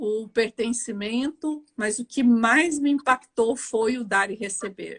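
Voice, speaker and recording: A woman's fairly high voice at a very slow pace. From Brazil, Mato Grosso. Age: 60s. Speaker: judge. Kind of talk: interview. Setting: livestream.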